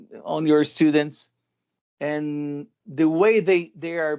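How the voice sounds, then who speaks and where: This man speaks with a Portuguese accent. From Brazil. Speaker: rock band vocalist and vocal teacher. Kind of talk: interview. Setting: video call. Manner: halting, many repetitions.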